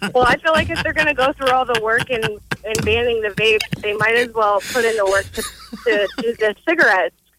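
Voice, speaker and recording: A woman's fairly high pitch with ordinary variation, hardly any pauses, and noticeable background noise. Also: moderate pace. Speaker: radio call-in listener. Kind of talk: casual call-in chat. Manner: halting.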